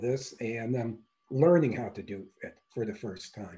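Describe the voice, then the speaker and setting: A man with an American accent, somewhat breathy, with a dark, mellow tone at a moderate pace. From Wisconsin. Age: 60s. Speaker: semi-retired coaching client. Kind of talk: testimonial interview answer. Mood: pleased, relaxed. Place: home room. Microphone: video call.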